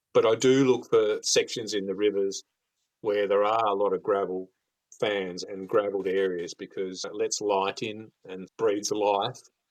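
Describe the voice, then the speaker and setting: A man in an Australian accent speaks with fairly even intonation. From mainland Australia. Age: 60s. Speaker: fishing expert. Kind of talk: podcast interview.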